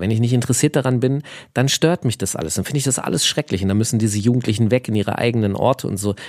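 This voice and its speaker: Recorded very cleanly against a silent background, a man with a plain, everyday voice speaks at a medium pitch with ordinary pitch variation. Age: 40s. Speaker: podcast co-host. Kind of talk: casual chat.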